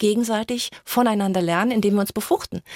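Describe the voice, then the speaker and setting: A woman's fairly high, fairly quick delivery in a plain, everyday voice, with lively intonation and a dry, close sound with no echo. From Germany, Mainz. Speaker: coach and author. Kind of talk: radio interview.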